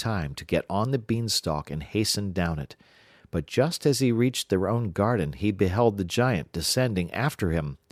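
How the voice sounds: Lively intonation shapes a natural reading voice.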